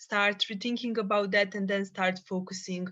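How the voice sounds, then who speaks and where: A woman with a Bosnian accent, bright, sharp tone and fairly quick pace against a quiet background. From Bosnia and Herzegovina. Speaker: psychologist and peacebuilding activist. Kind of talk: podcast interview.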